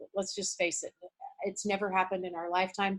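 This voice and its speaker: Here is a woman's voice. Its pitch sits at a medium level. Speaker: motivational speaker. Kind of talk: motivational talk. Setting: video call. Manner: loud; animated.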